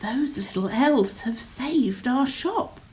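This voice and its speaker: A woman uses a put-on character voice, high-pitched with lively intonation, at a fairly slow pace. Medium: read story.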